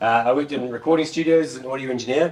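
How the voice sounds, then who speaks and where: A man with a New Zealand accent talks at a very fast pace in a medium pitch. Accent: Kiwi. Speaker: conference speaker, software developer and former rock musician. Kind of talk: tech conference talk.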